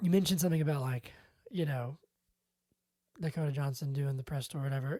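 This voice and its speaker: A woman mumbles at a very fast pace in a very deep, low, somewhat breathy voice with a dark, mellow tone and ordinary pitch variation. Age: 30s. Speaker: podcast host. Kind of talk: casual chat. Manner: mumbling.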